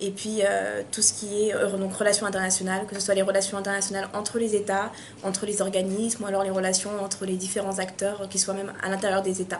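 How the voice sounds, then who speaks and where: A woman talks at a very fast pace with hardly any pauses, her medium-pitched voice monotone and flat. Background noise is noticeable. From France, Paris suburbs, Malian heritage. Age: 20s. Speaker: university student. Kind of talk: interview. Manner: hesitant, many fillers.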